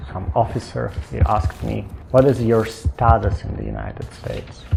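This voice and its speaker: A man's very deep, low voice with very wide pitch swings and big swings in loudness, music in the background. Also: moderate pace. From Russia, Ural region. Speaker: asylum seeker. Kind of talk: personal testimony. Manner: halting.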